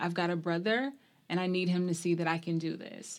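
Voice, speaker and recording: A woman with an American accent speaks at a moderate pace and fairly low pitch. She has an unremarkable speaking voice. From US South, small-town Mississippi. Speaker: university athletics administrator. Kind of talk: interview.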